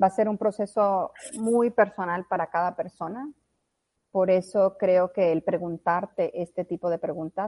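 Using an ordinary speaking voice, a woman talks at a fairly slow pace. Her medium pitch shows ordinary variation. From moved around Latin America (Colombia's La Guajira, Bolivia, Mexico). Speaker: blockchain consultant. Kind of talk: interview.

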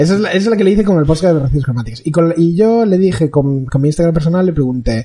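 A man's voice carries a dark, mellow tone. His intonation is lively. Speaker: podcast co-host. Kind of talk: casual chat.

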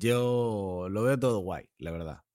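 This man's voice is pitched fairly low. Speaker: podcast co-host. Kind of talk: casual chat.

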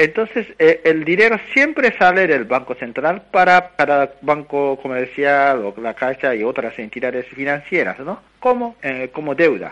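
At a fairly slow pace with hardly any pauses, the speaker uses lively intonation. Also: man, fairly high pitch for a man. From Japan. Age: 30s. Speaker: economics researcher. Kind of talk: interview. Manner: halting.

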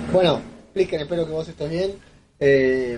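A man's voice comes across somewhat breathy with a dark, mellow tone. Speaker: podcaster. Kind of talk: recorded voice message. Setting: self-recorded audio.

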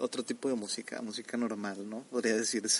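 Medium in pitch, this man speaks with fairly even intonation. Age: 20s. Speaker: anime reviewer. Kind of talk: casual monologue.

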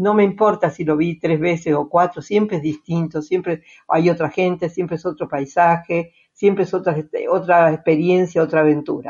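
This woman speaks with an Argentine accent at a fairly low pitch, with ordinary pitch variation and a moderate pace. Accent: Argentine Spanish (Rioplatense). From Argentina. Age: 80s+. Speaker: retiree traveling by motorhome. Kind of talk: interview.

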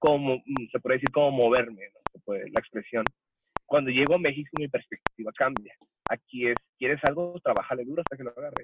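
In a dry, close sound with no echo, a man with an ordinary speaking voice talks at a fairly quick pace and fairly high pitch, with fairly even intonation. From El Paso, Texas (US–Mexico border). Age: 20s. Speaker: church worship musician. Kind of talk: casual interview chat.

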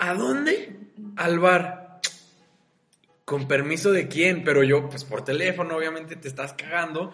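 A man with a high pitch speaks fairly slowly in an animated tone with ordinary pitch variation, big swings in loudness and long, frequent pauses, while audible room echo surrounds him. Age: 20s. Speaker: student podcast host. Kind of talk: casual chat. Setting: university classroom.

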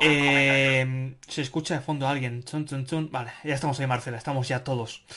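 A man with fairly high pitch at a moderate pace with hardly any pauses, over noticeable background noise. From Spain, Barcelona. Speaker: podcast host, Spanish teacher. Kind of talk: moderated group discussion. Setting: video conference. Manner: animated.

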